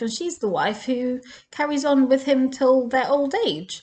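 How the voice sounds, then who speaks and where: A woman speaks with an English accent. Her pitch is high. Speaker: Torah teacher. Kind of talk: casual Torah talk.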